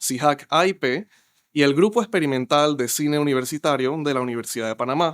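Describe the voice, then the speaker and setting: A man talks fairly quickly in an ordinary speaking voice, with ordinary pitch variation. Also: fairly high pitch for a man. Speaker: podcast moderator. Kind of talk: podcast host introduction and interview questions.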